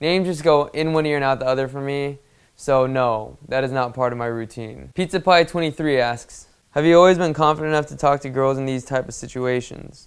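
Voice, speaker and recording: A man with a fairly high voice talks at a fairly quick pace, his pitch varying in an ordinary way. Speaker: dating coach. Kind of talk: Q&A answering viewer questions. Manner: fast.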